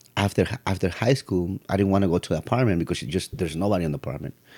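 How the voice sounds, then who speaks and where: The man has a Spanish accent and a dark, mellow tone with fairly even intonation. The recording is very clean, with a silent background. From Mexico City. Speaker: piano technician. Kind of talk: casual chat.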